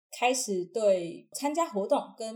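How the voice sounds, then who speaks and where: Her voice is fairly high and somewhat breathy. The woman's intonation is lively. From Taiwan, Taichung. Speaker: university student and acrobat. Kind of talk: casual interview.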